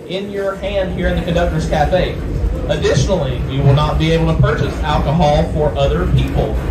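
Speech moves at a fairly quick pace over loud background noise. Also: man. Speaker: train conductor. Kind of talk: PA announcement. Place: train.

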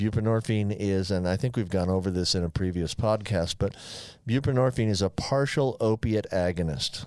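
With a quiet background and a dry sound with no echo, a man talks at a moderate pace in an unremarkable speaking voice, his fairly low pitch showing ordinary variation and his loudness very even. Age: 60s. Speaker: physician co-host. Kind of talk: casual chat; medical explanation. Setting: studio. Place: studio. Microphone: studio mic.

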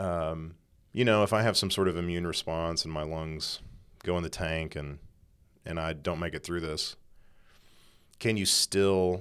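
A man's very deep, low voice with an American accent, at a moderate pace with fairly even intonation and long, frequent pauses, over a quiet background. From East Texas. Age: 30s. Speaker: podcast cohost, music scholar. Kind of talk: casual spiritual conversation. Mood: reflective, personal, earnest. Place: studio. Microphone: studio mic.

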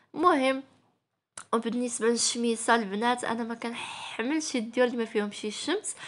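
A woman's high voice in a Moroccan accent at a moderate pace. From Morocco. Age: 20s. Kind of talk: casual vlog narration.

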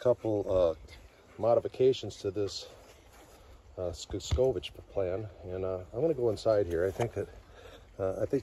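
A man with a fairly low pitch speaks in a somewhat breathy voice. The sound is dry with no echo, and there is light background noise. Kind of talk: casual vlog chat. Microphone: phone near.

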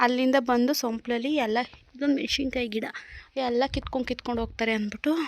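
Noticeable background noise sits behind a woman's high-pitched voice. Her intonation stays monotone and flat. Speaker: family vlogger. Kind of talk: vlog narration.

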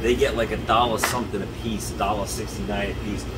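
A man talks at a moderate pace. Music can be heard in the background. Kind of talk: promotional store tour. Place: shop. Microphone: camera far.

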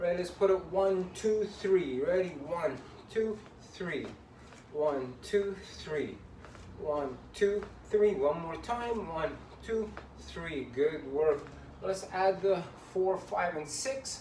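In an upbeat tone, a high-pitched man speaks at a very slow pace with ordinary pitch variation and long, frequent pauses, amid audible room echo and light background noise. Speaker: boxing fitness coach. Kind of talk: led workout instruction, counting out reps and punch combos. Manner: upbeat, encouraging coach, rhythmic counting with constant praise; pushes hard, urgent repeated commands. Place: home room. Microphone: camera far.

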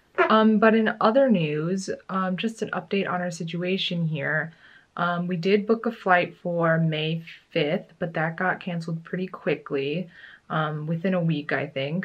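A woman speaks at a moderate pace with a somewhat breathy voice and fairly even intonation. The background is quiet. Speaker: vlogger. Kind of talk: casual vlog chat. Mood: calm, slightly resigned. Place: home room. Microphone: phone near.

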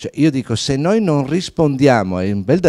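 A man speaks with a dark, mellow tone and very wide pitch swings at a fairly quick pace. The background is quiet. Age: 60s. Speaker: fashion entrepreneur; company founder on a panel. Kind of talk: panel talk. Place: hall. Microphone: handheld.

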